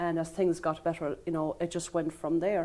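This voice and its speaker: A woman's fairly low voice with a western Irish accent, dark and mellow in tone, in a flat monotone. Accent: Connemara Irish English. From Ireland, Connemara Gaeltacht (Galway). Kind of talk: TV interview. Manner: halting.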